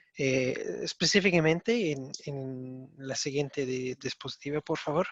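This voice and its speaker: Speaking with a non-native accent, a man has a fairly high pitch and ordinary pitch variation, recorded dry and close with no echo. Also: fairly slow pace. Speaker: mining company executive. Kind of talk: conference presentation. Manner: halting.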